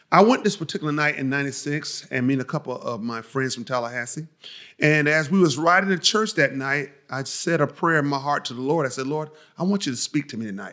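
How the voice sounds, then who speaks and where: With an American accent, a man talks at a very fast pace in a fairly high, bright, sharp voice with ordinary pitch variation. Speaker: insurance agent and preacher. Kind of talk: interview. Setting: company office. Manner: powerful, full of conviction.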